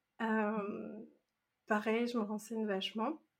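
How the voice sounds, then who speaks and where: This woman's voice sits fairly high. She speaks at a very slow pace. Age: 30s. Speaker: self-compassion coach and meditation teacher. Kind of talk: casual interview. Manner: hesitant, many fillers and repetitions.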